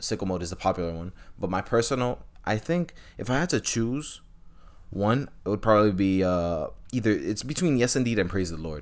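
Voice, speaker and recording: Here is a man with an American accent and a normal speaking voice. He talks at a fairly quick pace with lively intonation and a fairly low pitch. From New York City, Washington Heights. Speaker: music and sports podcast co-host. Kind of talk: casual chat.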